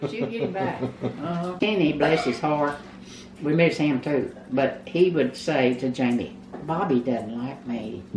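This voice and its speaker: In a Texan accent, a woman with a very deep, low voice speaks at a fairly slow pace with lively intonation over noticeable background noise. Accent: Texan Southern American. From Texas. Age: 80s+. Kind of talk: interview answer.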